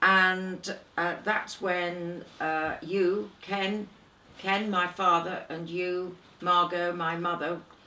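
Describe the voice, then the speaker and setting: At a very slow pace, a woman speaks in a fairly low pitch with monotone, flat intonation, and there is noticeable background noise. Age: 70s. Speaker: interviewer, daughter of the interviewee. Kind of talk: family oral history interview.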